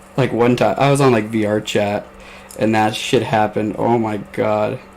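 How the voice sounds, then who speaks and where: A man with an American accent talks at a fairly low pitch and a very even loudness. Noticeable background noise runs underneath. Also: moderate pace. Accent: slight Southern-sounding. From US Midwest. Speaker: podcast host. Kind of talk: casual chat. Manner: animated.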